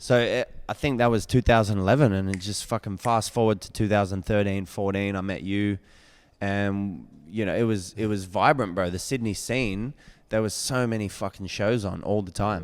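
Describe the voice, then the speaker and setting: At a moderate pace, this speaker talks with an Australian accent and fairly even intonation on a very clean recording with a silent background. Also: man, fairly low pitch for a man. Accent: Australian, formerly somewhat American. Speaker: rapper and singer. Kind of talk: casual podcast interview. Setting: podcast streamed live.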